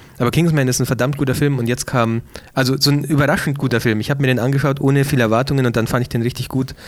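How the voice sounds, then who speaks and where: A man speaks at a very fast pace and medium pitch. His intonation is fairly even and his loudness very even. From Bavaria, Ingolstadt. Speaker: podcast co-host and photographer. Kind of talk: casual chat.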